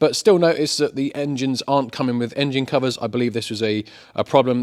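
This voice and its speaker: A man's medium-pitched voice with an English accent, at a very fast pace. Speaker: car repair youtuber. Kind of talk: casual vlog tutorial.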